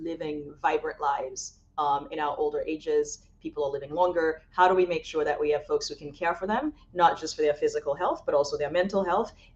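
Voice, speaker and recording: At a fairly quick pace, a woman with a fairly low pitch speaks with lively intonation. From Haiti, moved to Boston at twelve. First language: French and Haitian Creole. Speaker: college president. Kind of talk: podcast interview. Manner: frequent filler words, hesitant.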